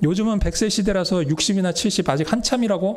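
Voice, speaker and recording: A man talks at a fairly quick pace. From Seoul, South Korea. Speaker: pastor. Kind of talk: sermon. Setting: church.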